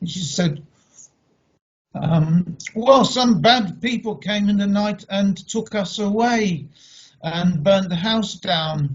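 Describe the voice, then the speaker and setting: A man speaks with a London accent in a high-pitched voice. His pace is very slow. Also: ordinary pitch variation. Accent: British English (London). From England (London), Polish family. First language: Polish. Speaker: speaker on heritage. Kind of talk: online talk.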